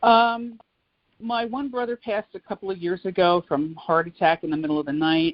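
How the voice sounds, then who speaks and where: A woman's ordinary speaking voice, medium-pitched, with an American accent, lively intonation and a moderate pace. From New Jersey, Old Bridge. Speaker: oral history interviewee. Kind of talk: interview.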